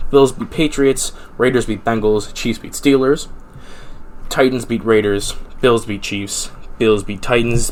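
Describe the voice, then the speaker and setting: Here a man talks with an American accent at a medium pitch. His intonation stays fairly even. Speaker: sports podcast host. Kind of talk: solo podcast monologue. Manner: fast.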